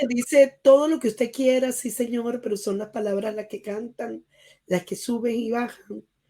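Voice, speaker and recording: Her pitch fairly high and her tone dark and mellow, a woman speaks at a moderate pace with fairly even intonation but big swings in loudness. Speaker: radio show host. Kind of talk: radio interview host, friendly greeting.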